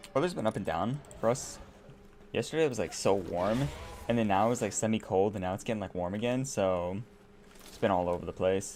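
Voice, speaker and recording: A man speaks with an American accent in a relaxed tone, his pitch fairly low. His pace is fairly quick, with ordinary pitch variation. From United States. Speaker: gaming streamer. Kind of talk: casual live-stream chat. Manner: relaxed, chatty.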